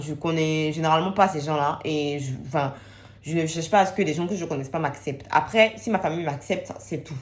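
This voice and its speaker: Her voice is very deep and low in pitch for a woman. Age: 20s. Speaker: student. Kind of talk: personal testimony to camera.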